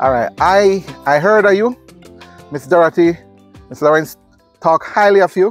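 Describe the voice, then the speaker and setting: Over music in the background, a high-pitched man speaks at a moderate pace with ordinary pitch variation and long, frequent pauses, the sound dry and close with no echo. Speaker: vlogger. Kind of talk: interview.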